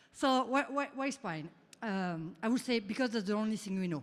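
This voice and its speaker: A woman with a French accent at a fairly quick pace. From France. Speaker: researcher and startup founder. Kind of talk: conference talk. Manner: halting, many fillers.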